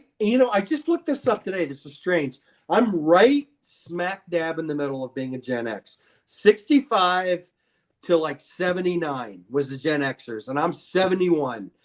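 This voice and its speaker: A man with an American accent, high-pitched, at a moderate pace, with very wide pitch swings and big jumps in loudness, in a dry, close sound with no echo. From Ohio, Akron. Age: 50s. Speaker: podcast guest. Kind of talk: casual chat. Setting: live video stream.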